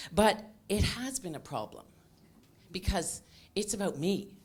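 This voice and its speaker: In a very clean recording with a silent background, a woman talks at a fairly slow pace with lively intonation. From Canada. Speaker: cancer patient speaker. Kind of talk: patient talk to audience.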